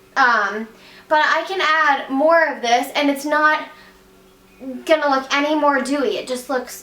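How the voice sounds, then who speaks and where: A woman with an American accent projects her voice at a high pitch with ordinary pitch variation. Audible room echo and noticeable background noise are present. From West Virginia. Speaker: beauty vlogger. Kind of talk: makeup tutorial. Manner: fast; casual, chatty.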